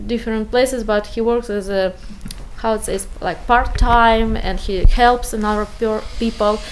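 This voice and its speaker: Speaking at a fairly slow pace with a non-native accent, a woman keeps her fairly high voice flat and monotone. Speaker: refugee, physician. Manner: halting.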